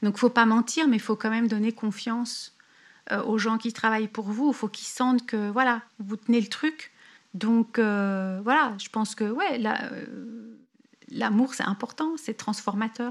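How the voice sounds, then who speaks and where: A woman with a fairly high, somewhat breathy voice speaks at a fairly slow pace, with long, frequent pauses and fairly even intonation. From France (Paris). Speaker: expat entrepreneur. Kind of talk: interview about her life story. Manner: hesitant, many fillers and repetitions.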